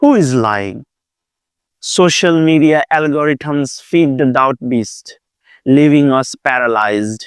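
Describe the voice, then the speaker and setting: Speaking slowly and fairly high for a man, he has an Asian accent and a dry, close sound with no echo. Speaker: Buddhist monk. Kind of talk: dharma talk. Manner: hesitant with fillers.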